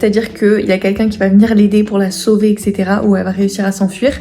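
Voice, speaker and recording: A woman speaks at a very fast pace in a fairly high pitch, with music playing in the background. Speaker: writing YouTuber and author. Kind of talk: casual vlog. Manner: hesitant with frequent fillers.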